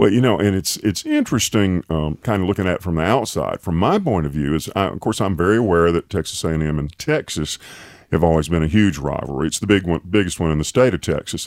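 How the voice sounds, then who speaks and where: Recorded dry and close with no echo, a man with an Alabama accent talks at a very fast pace in a very deep, low pitch. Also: ordinary pitch variation. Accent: US Southern (Alabama). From Alabama, Tuscaloosa. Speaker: podcast host. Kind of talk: casual interview; scripted intro. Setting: studio.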